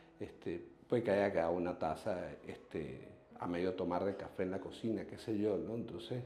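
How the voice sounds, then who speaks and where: Audible room echo carries a man's dark, mellow, fairly low-pitched voice, delivered at a moderate pace with ordinary pitch variation. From Venezuela. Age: 40s. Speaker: human rights activist. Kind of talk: interview testimony. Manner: halting, many repetitions and fillers.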